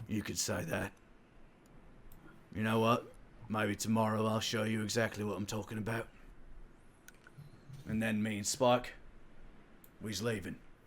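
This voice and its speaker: A man's raspy, put-on character voice, medium in pitch and monotone, at a moderate pace with long, frequent pauses over clear background noise. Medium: actual play. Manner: terse, guarded.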